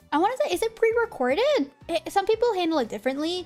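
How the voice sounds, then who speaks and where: With music behind her, a woman's pitch swings very widely as she talks. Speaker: vtuber streamer. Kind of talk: casual chat. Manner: halting, many fillers; talkative.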